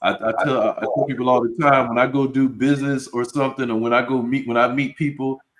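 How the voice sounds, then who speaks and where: Here a man speaks at medium pitch. His intonation stays fairly even. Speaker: self-defense instructor. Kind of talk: casual discussion.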